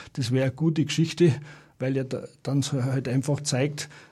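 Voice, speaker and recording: A man with a medium-pitched, somewhat breathy voice talks with fairly even intonation. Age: 60s. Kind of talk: radio interview. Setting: radio studio.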